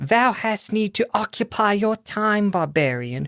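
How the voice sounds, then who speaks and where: A put-on character voice at a fairly high pitch, fairly slow pace, on a very clean recording with a silent background. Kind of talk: archaic Shakespearean, formal. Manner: sudden, weird, theatrical.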